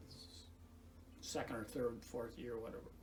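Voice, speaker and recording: A man with an American accent speaks fairly slowly, with vocal fry. There is audible room echo. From US Midwest, north Iowa. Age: 80s+. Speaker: retired farmer and garden volunteer. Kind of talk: casual reminiscence. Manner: halting, many false starts.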